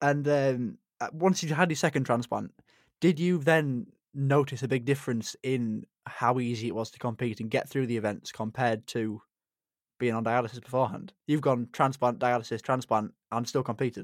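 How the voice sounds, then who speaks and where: On a very clean recording with a silent background, a man with a plain, everyday voice talks at a moderate pace and medium pitch, with ordinary pitch variation. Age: 20s. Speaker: podcast host, kidney transplant recipient. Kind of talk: casual interview chat.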